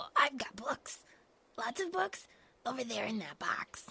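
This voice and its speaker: Putting on a character voice, a woman speaks at a high pitch and a moderate pace with lively intonation. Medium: audio drama. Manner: hesitant, stammering.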